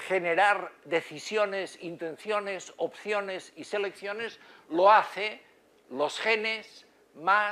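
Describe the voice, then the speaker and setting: A raised, projected male voice with a Catalan accent, high in pitch and bright and sharp in tone, with ordinary pitch variation. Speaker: psychiatry professor. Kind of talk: lecture. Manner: halting, many fillers.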